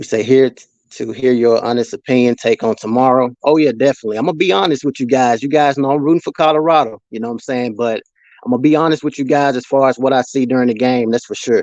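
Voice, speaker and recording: Someone with a Mississippi accent talks at a very fast pace with fairly even intonation. The sound is dry and close with no echo, over a quiet background. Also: man, medium pitch for a man. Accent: US Southern, Mississippi. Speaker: sports livestreamer. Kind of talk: casual live stream chat. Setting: live stream reading chat comments.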